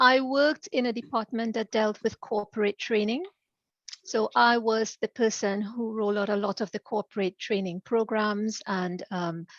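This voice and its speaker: A woman with a slight Caribbean accent talks at a moderate pace with a fairly high pitch and fairly even intonation, the sound dry and close with no echo. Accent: slight Caribbean twang. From Trinidad. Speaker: executive director and career coach. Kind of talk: interview.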